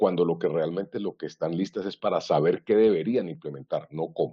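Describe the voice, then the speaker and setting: A man speaks at a fairly quick pace. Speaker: IT governance consultant. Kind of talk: webinar presentation. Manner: fast.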